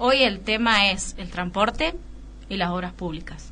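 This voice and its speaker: A woman has an unremarkable speaking voice, medium in pitch with ordinary pitch variation. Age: 30s. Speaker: city councillor. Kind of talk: radio interview.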